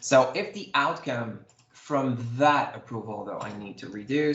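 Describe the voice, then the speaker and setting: Moderate pace and medium pitch from a man, ordinary pitch variation, audible room echo, noticeable background noise. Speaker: software demo presenter. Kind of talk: live software demo tutorial.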